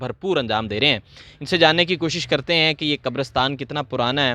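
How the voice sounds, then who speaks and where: A man speaks with a fairly high pitch, ordinary pitch variation and a bright, sharp tone. The sound is dry and close with no echo, over a quiet background. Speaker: YouTube interviewer. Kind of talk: interview questions and introduction to camera.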